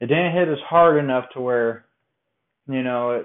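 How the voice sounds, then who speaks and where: This man has an unremarkable speaking voice and an American accent, moving at a moderate pace with ordinary pitch variation. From Colorado. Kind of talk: personal storytelling monologue. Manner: casual, conversational.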